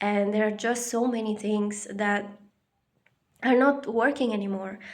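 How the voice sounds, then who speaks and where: The speaker has a non-native accent and fairly even intonation, talking at a fairly slow pace. Audible room echo surrounds the voice. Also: woman, fairly high pitch for a woman. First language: not English. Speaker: spiritual vlogger. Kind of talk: personal reflection monologue. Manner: halting, many fillers.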